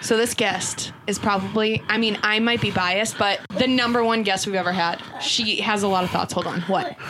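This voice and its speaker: At a moderate pace with hardly any pauses, a woman at fairly high pitch holds very even loudness and fairly even intonation. Noticeable background noise runs underneath. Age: 20s. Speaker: podcast co-host. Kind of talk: casual chat.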